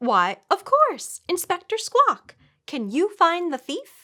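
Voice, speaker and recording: A woman uses a put-on character voice at an extremely high pitch and a fairly slow pace. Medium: read story. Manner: fussy, excitable.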